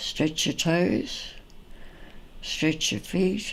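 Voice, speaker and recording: A woman speaks at a very slow pace in a very deep, low voice. Vocal fry runs through her speech. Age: 80s+. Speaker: physical education teacher. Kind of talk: tutorial.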